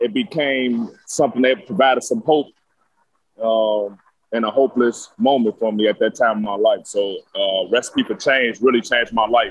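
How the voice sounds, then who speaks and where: A man with a plain, everyday voice speaks at a moderate pace, his medium pitch showing ordinary pitch variation. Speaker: former inmate and program graduate. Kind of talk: testimony.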